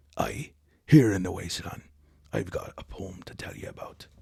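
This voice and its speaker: Using a raspy, put-on character voice, a man speaks at a moderate pace with big swings in loudness. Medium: actual play.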